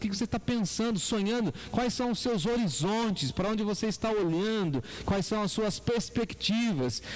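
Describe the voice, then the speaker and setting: A man with a high voice speaks at a moderate pace with ordinary pitch variation over noticeable background noise. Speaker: pastor. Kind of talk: sermon.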